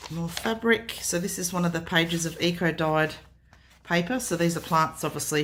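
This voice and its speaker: Australian accent from a woman, fairly low in pitch, at a moderate pace. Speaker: craft artist. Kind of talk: product showcase. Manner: casual with frequent fillers.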